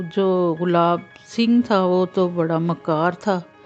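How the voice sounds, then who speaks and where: Music plays behind a woman speaking at medium pitch with fairly even intonation. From Pakistan. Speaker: voice-over artist and story writer. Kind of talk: read moral story narration.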